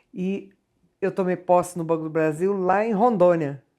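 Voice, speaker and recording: Fairly slow, fairly low-pitched speech from a woman, with ordinary pitch variation. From Rio de Janeiro state, Resende. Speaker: singer. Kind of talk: TV interview. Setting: TV studio.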